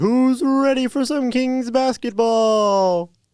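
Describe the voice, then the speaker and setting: This is a put-on character voice with a fairly high pitch. The delivery is very slow. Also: very clean recording, silent background. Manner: hyped-up, booming.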